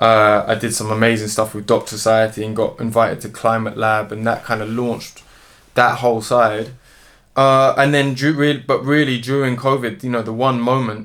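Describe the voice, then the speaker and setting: With a London accent, a man speaks at a medium pitch with fairly even intonation. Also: moderate pace. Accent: London street speech. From London, England (Dominica roots). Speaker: musician and zoologist. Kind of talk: interview.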